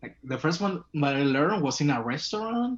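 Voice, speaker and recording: A man with a Spanish accent, fairly high in pitch, at a moderate pace with very wide pitch swings. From Venezuela. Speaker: language student. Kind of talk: casual online English lesson.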